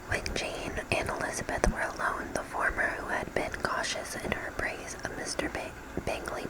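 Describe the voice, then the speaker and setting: The voice is whispering. Noticeable background noise can be heard. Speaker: ASMR creator. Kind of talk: novel reading. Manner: whispered.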